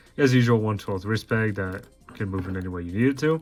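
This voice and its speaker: A man's fairly low voice at a fairly quick pace, ordinary pitch variation, music in the background. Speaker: toy reviewer. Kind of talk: product review. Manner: casual, some stuttering.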